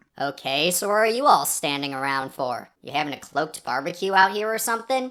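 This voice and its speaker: In a put-on character voice, the speaker uses a smug tone at a middle pitch and a fairly quick pace. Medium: virtual streamer. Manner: smug, sarcastic.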